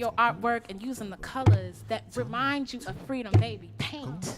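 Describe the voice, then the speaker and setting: Music plays in the background. A woman with an American accent talks at a moderate pace. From US South. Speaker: spoken word poet. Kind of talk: spoken word performance. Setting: online concert stream. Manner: animated.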